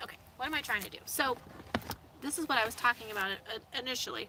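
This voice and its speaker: A woman is talking. There is noticeable noise in the background. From US Midwest, Indianapolis area. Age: 30s. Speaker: van-life vlogger. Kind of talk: casual livestream chat reading viewer comments. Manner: casual, filler-heavy.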